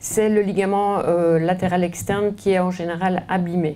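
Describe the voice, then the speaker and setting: A woman with a Belgian accent talks at a very slow pace in a medium pitch. Her tone is dark and mellow, and audible room echo surrounds her voice. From Belgium. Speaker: orthopedic surgeon. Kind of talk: lecture. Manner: hesitant, many fillers and repetitions.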